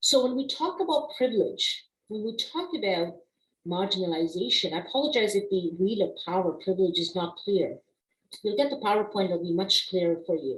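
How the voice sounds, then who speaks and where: A woman with a non-native accent speaks at a moderate pace and medium pitch. Her pitch swings very widely, and room echo is audible. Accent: non-native accent, permanent. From immigrant family, raised partly abroad before Canada. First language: not English (trilingual). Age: 40s. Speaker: diversity consultant and instructor. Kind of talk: webinar lecture. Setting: online webinar.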